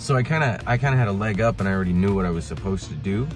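Clear music plays in the background as a man talks at a very fast pace in a very deep, low pitch, the sound dry with no echo. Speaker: adult college student vlogger. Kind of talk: casual vlog chat. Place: car. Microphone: phone near.

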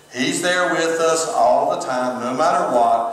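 There is audible room echo as a man speaks with lively intonation. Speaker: pastor. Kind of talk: sermon. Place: church. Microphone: camera far.

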